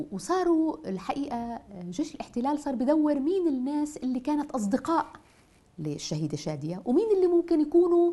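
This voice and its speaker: Her voice has a dark, mellow tone and very wide pitch swings as this woman speaks with a Nablus Palestinian accent. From Palestine, Nablus; Palestine. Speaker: poet and writer; poet. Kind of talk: interview testimony. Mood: emotional, animated storytelling. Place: home room.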